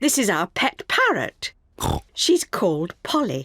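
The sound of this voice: A cartoonish character voice, fairly high in pitch and fairly slow in pace.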